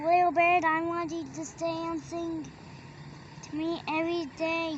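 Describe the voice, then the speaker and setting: A put-on character voice moves at a moderate pace over clear background noise. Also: woman, extremely high pitch for a woman. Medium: read story.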